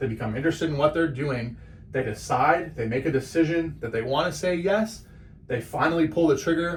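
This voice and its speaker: Somewhat breathy and animated in tone, a man speaks at a fairly quick pace. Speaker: small business owner teaching marketing. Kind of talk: tutorial. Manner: fast.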